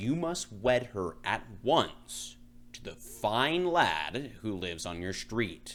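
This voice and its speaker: A man's put-on character voice, growling and booming, medium in pitch and very slow in pace, over clear background noise. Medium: read story. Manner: imperious, commanding, menacing.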